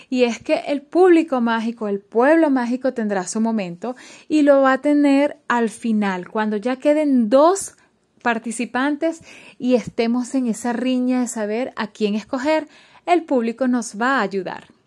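A woman speaks at a high pitch and a fairly slow pace. The recording is very clean, with a silent background. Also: ordinary pitch variation. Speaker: radio presenter and contest judge. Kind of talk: interview.

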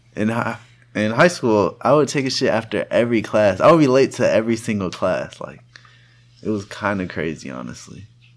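With vocal fry in his medium-pitched voice, a man talks at a fairly quick pace. His intonation is lively. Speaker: podcast co-host and college student. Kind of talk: casual chat.

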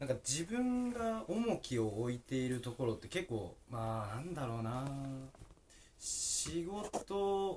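A man talks at a very slow pace, his voice somewhat breathy. His pitch swings very widely. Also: fairly high pitch for a man. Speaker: podcast host. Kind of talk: interview.

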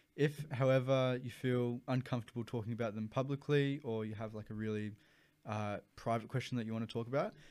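A man with an Australian accent speaks at a moderate pace, his medium-pitched voice keeping a fairly even intonation. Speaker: podcast host. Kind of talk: casual chat.

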